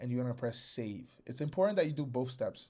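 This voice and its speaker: A man with a plain, everyday voice talks at a moderate pace and medium pitch, his pitch varying in an ordinary way. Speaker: software developer hosting a webinar. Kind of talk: live webinar tutorial. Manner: casual, filler-heavy.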